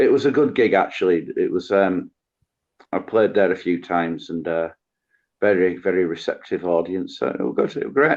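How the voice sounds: Putting on a character voice, a man speaks at a moderate pace in a very deep, low pitch that comes out croaky and hoarse.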